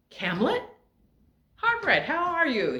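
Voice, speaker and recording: Putting on a character voice, a woman squeaks at an extremely high pitch with very wide pitch swings. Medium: read story. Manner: cheery.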